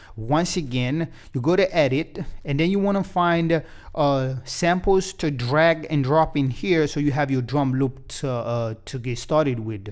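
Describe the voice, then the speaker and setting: A man with a non-native accent speaks in a fairly high pitch at a fairly slow pace, with ordinary pitch variation. The recording is very clean and the background silent. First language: not English. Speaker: music production tutor. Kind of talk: tutorial. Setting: home recording studio. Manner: casual, many fillers.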